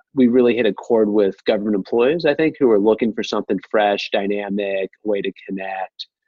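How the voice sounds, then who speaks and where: With an American accent and a plain, everyday voice, a man speaks fairly quickly and fairly low, with ordinary pitch variation and hardly any pauses. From US Midwest, Ohio. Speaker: govtech entrepreneur. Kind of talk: interview.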